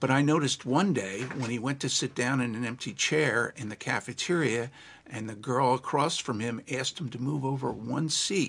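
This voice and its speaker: On a very clean recording with a silent background, a man with an American accent speaks in a normal speaking voice at medium pitch, moderate pace and ordinary pitch variation. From New Jersey, Monmouth County. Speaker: legal trainer and consultant. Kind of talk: interview.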